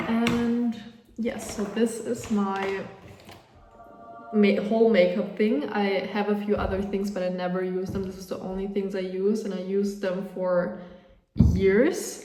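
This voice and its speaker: A woman at a medium pitch and fairly slow pace, with a German accent and fairly even intonation, amid noticeable background noise and audible room echo. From Austria. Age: young. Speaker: vlogger. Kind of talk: casual chat. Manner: casual, with many fillers.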